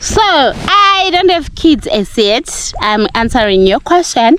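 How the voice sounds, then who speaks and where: An animated woman's voice with very wide pitch swings. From Zimbabwe, Gokwe (Mashonaland). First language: Ndebele and Shona. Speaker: village life vlogger. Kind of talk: casual Q&A vlog. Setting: outdoors.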